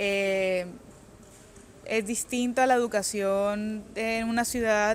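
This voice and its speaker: A woman speaks at a fairly high pitch with monotone, flat intonation. The recording is very clean, with a silent background. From Colombia, Cartagena. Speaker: author. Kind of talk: interview. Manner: halting.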